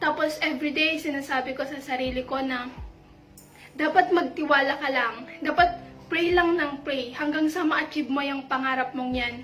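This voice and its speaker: Over music in the background and with audible room echo, a woman speaks in a high pitch at a moderate pace with fairly even intonation. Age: young. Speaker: church youth member. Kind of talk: testimony.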